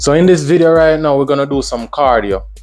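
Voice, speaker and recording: There is faint music in the background. A man is speaking. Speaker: fitness vlogger. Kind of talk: casual vlog chat. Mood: upbeat, relaxed. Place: gym. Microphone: lapel.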